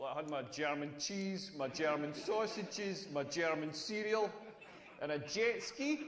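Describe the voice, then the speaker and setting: Over noticeable background noise, a man with a Scottish accent talks in a high voice with lively intonation. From Scotland. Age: 40s. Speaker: comedian. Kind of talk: stand-up. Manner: animated.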